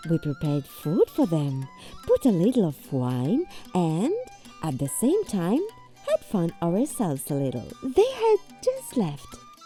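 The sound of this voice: With faint music in the background, a woman puts on a character voice, fairly low and dark and mellow in tone, speaking slowly with few pauses and very wide pitch swings.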